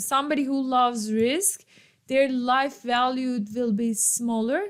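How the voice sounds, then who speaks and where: A woman's high-pitched voice at a fairly slow pace with ordinary pitch variation. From Turkey. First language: Turkish. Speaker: economics professor. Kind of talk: lecture. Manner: casual.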